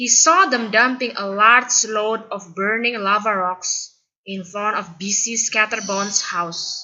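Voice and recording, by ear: The background stays quiet while a natural voice reads aloud.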